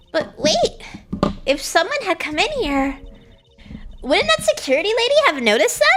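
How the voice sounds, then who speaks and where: In a put-on character voice, a woman speaks at an extremely high, nasal pitch with very wide swings, a moderate pace and long, frequent pauses. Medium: virtual streamer.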